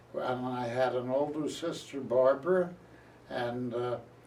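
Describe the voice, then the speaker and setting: Through noticeable background noise and audible room echo, a man with an American accent speaks at a fairly slow pace in a medium pitch. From Philadelphia area, US. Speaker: retired journalist. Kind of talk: oral history interview.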